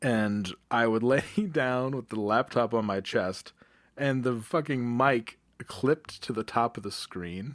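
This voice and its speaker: A man with an ordinary speaking voice, medium pitch and ordinary pitch variation speaks at a fairly slow pace. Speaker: podcast co-host. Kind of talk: casual chat. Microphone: good mic setup.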